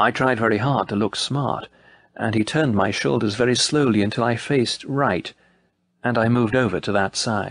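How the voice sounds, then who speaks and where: A man speaks in an unremarkable speaking voice at a medium pitch, with ordinary pitch variation. His loudness stays very even against a quiet background. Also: moderate pace. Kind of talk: audiobook narration, reading aloud a memoir. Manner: measured, solemn, formal.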